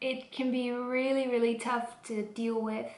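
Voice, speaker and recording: Over noticeable background noise and audible room echo, a woman with a Dutch accent speaks at a fairly high pitch. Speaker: vlogger. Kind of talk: casual vlog talk.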